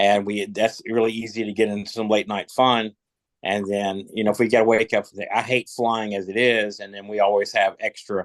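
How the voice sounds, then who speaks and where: Moderate pacing in a Southern US accent, with a dry, close sound and no echo. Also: man. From Kentucky. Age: 60s. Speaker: rock musician. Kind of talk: casual chat. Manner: halting.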